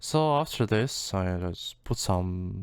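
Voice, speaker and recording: This man has a non-native accent. His pitch is fairly low. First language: not English. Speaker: music producer. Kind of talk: tutorial. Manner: halting.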